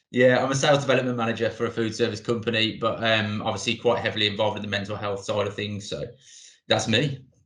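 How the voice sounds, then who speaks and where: Speaking with a strong Brummie accent, a man talks at a very fast pace and medium pitch with fairly even intonation. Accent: thick Brummie. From Birmingham, England. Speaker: sales manager. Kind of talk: casual chat.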